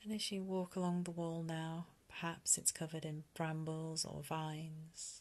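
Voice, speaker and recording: A woman's soothing, gentle tone in a British accent, fairly low in pitch, with monotone, flat intonation. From UK. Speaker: meditation guide. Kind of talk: guided meditation. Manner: slow, soothing, gentle, calm.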